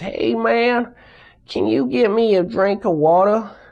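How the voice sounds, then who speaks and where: Speaking at a fairly slow pace, a put-on character voice comes across raspy at a middle pitch. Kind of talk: casual, familiar.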